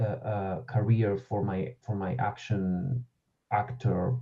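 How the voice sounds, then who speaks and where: A man speaks with an Argentinian accent at a fairly low pitch. His voice is somewhat breathy, with ordinary pitch variation. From Argentina. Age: 30s. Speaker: actor and voice-over artist. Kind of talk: casual chat. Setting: live podcast stream.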